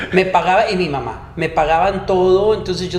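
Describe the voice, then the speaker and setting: A high-pitched man with a Mexican accent speaks at a moderate pace with ordinary pitch variation, amid noticeable background noise and audible room echo. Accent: Mexican Spanish (Jalisco). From Mexico, Ciudad Guzmán, Jalisco. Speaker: podcast co-host and business owner. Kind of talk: casual chat.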